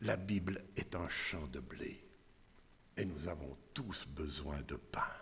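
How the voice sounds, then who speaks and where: Speaking at a very slow pace, a man uses a very deep, low pitch with vocal fry and ordinary pitch variation, and audible room echo surrounds him. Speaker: lay preacher. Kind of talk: sermon. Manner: halting.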